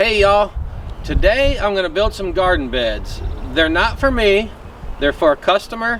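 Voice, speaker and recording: Over noticeable background noise, a man talks with a Virginia accent. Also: moderate pace. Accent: Southern US (Virginia). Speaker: farmer. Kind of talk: tutorial. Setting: outdoors. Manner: loud.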